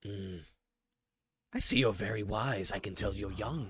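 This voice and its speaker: A man puts on a character voice at fairly low pitch, speaking at a moderate pace. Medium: actual play. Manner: relaxed, wry.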